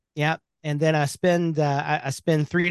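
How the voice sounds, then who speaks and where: A man with an Alabama accent, fairly high in pitch and fairly quick, with fairly even intonation, dry, close sound with no echo, and a quiet background. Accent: Southern US (Alabama). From US South, Birmingham, Alabama. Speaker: web agency owner and WordPress coach. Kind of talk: casual interview chat.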